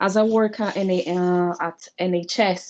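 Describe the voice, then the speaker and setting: This woman talks in a Brazilian accent with monotone, flat intonation. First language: Portuguese. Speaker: student. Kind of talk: class introduction. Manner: halting.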